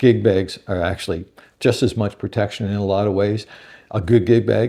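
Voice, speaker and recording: Over a quiet background, a man talks at a very deep, low pitch with a dark, mellow tone. His pace is fairly quick and his intonation fairly even. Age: 60s. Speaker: guitar reviewer. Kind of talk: product review. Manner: casual, conversational with fillers.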